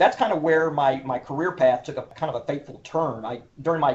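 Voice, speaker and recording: A man talks at a fairly quick pace with an Oklahoma accent and ordinary pitch variation. Noticeable background noise runs under his voice. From Oklahoma, Oklahoma City. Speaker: historian and cultural resource manager. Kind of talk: interview. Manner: formal.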